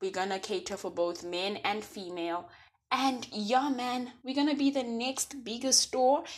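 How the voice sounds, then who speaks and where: Against a quiet background, a woman speaks with an animated tone, lively intonation and high pitch at a fairly slow pace. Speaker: podcast host. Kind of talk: casual monologue.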